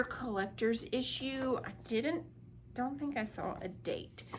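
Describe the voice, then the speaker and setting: Audible room echo surrounds a woman as she talks. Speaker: crafting video creator. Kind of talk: casual show-and-tell haul video. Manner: casual, filler-heavy.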